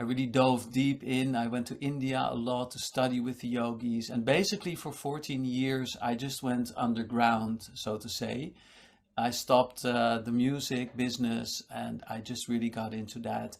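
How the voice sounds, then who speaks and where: In a very clean recording with a silent background, a man uses a normal speaking voice at a medium pitch and a moderate pace. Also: fairly even intonation. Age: 60s. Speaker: meditation teacher and musician. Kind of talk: casual interview chat.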